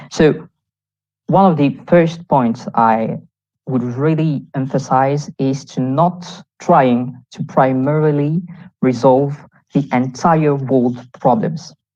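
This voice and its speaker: A woman with a very deep, low pitch and dark, mellow tone speaks at a very slow pace with ordinary pitch variation and long, frequent pauses. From Réunion Island. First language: French. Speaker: youth delegate. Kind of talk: conference talk. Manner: halting.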